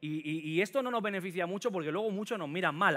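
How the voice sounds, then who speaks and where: A man's animated voice with lively intonation at a very fast pace. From Catalonia, Sant Boi de Llobregat (Barcelona area); Catalonia. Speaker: preacher. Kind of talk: sermon. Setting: church with congregation. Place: church. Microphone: headset.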